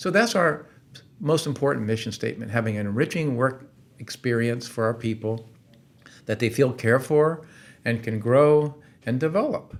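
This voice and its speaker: A man of medium pitch talks at a moderate pace with ordinary pitch variation and long, frequent pauses. The recording is very clean, with a silent background. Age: 60s. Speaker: company founder. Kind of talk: podcast interview.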